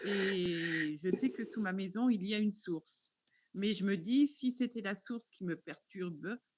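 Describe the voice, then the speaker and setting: A woman speaks in a somewhat breathy, medium-pitched voice with ordinary pitch variation. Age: 60s. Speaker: webinar participant asking a question. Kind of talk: question in live webinar. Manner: halting, many hesitations.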